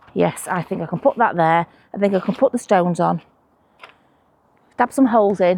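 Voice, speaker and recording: In a dry, close sound with no echo, a woman with a Manchester accent speaks with a dark, mellow tone and lively intonation at a fairly quick pace, broken by long, frequent pauses. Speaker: allotment vlogger. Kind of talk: casual vlog talk to camera. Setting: outdoors at allotment plot. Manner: chatty, conversational.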